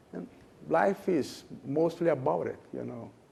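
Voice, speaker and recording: The man's dark, mellow voice moves through very wide pitch swings. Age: 70s. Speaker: management consultant. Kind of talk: interview. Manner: halting.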